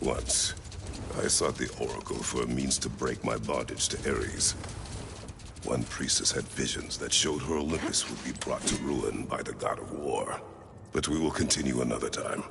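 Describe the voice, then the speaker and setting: A man delivers a put-on character voice at a moderate pace amid loud background noise. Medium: machinima. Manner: terse, grave.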